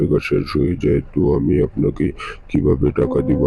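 A man puts on a character voice with a very deep, low pitch and a sing-song delivery at a moderate pace. Clear background noise can be heard. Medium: cartoon. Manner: sing-song hawking calls.

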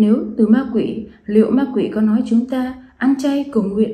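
A woman's high-pitched voice with a dark, mellow tone and ordinary pitch variation, at a fairly slow pace, with audible room echo against a quiet background. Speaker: presenter. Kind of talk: scripted testimony address. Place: home room. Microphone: phone near.

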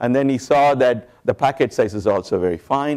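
Against a quiet background, a man talks at a fairly quick pace with ordinary pitch variation and a dark, mellow tone. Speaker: conference lecturer. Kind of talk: lecture. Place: hall. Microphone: lapel.

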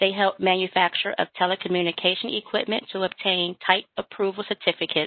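An ordinary speaking voice at a fairly quick pace, dry with no echo, against a quiet background. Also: woman. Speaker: webinar moderator. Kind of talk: webinar hosting. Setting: video call. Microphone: video call.

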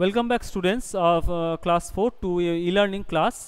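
A man with an Indian accent talks at a fairly slow pace in a high pitch. His pitch varies in an ordinary way, and the background is quiet. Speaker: school teacher. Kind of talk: tutorial. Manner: halting. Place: classroom. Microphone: headset.

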